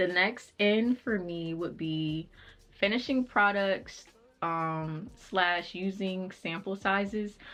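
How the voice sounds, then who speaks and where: A woman's medium-pitched voice moves along very slowly. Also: ordinary pitch variation. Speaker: lifestyle YouTuber. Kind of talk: casual chat.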